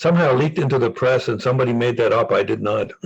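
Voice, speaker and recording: A man's somewhat breathy voice at a medium pitch, with a German accent. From East Germany. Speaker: former spy. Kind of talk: interview. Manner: halting with frequent repetitions.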